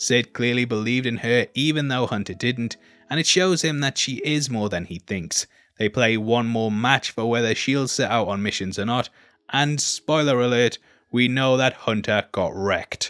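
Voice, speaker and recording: A man at medium pitch with a British accent, moderate pace and ordinary pitch variation, music in the background. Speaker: YouTube film and TV reviewer. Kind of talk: scripted commentary.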